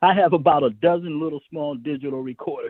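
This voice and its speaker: This man has a normal speaking voice, a fairly high pitch, ordinary pitch variation and a moderate pace. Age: 60s. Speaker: songwriter. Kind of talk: interview.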